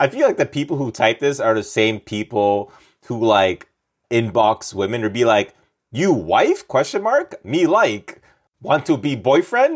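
This man has an ordinary speaking voice with a Canadian accent, medium pitch and lively intonation. He talks at a fairly slow pace in a very clean recording with a silent background. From Montreal, Quebec. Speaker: stand-up comedian and actor. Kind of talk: comedic casual chat.

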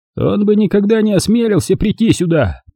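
A man's put-on character voice, high-pitched and at a fairly quick pace. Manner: frightened.

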